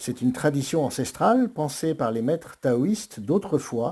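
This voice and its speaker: This man's voice is fairly high-pitched and somewhat breathy, with a dark, mellow tone and very wide pitch swings, in a very clean recording with a silent background. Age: 60s. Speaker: martial arts and breathing teacher. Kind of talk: motivational monologue.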